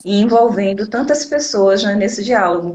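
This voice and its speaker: Her voice sits at a medium pitch as this woman talks at a moderate pace with ordinary pitch variation. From Northeast Brazil, Recife. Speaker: teacher, educator and activist. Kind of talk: live interview. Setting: Instagram live video.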